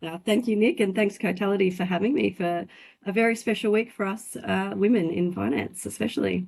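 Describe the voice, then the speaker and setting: Against a quiet background, a woman with a slight Australian accent speaks with vocal fry and ordinary pitch variation. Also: medium pitch for a woman, fairly quick pace. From Australia, country Victoria. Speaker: finance industry director. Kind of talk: interview. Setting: podcast.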